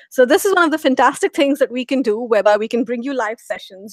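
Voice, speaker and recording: A woman with an Indian accent. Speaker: program manager moderating a course Q&A. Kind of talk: live online Q&A moderation. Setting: live video broadcast. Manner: fast.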